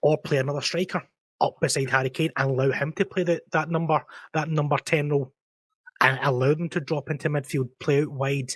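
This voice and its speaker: A man with a Scottish accent talks at a fairly quick pace, with a fairly high, somewhat breathy voice and a monotone, flat intonation. The recording is very clean with a silent background, and the sound is dry and close with no echo. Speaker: football podcast host, tactics analyst. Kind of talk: tactical breakdown segment; casual panel discussion. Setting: live-streamed podcast.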